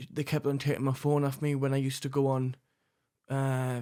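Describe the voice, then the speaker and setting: Monotone, flat male voice at a fairly high pitch in a very clean recording with a silent background. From northern England, Sunderland. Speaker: recovering addict. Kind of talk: testimony. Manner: halting, many repetitions.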